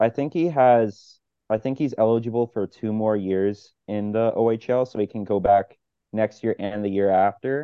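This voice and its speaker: At a moderate pace, a man's fairly low pitch shows ordinary variation in an unremarkable speaking voice. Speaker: podcast co-host. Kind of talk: casual sports podcast chat.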